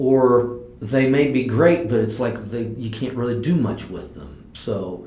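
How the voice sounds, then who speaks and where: With a Midwestern American accent and ordinary pitch variation, a man talks in a room with audible echo. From US Midwest (southwest Ohio). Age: 60s. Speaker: farmer. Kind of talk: oral history interview. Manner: hesitant, with many fillers and repeats.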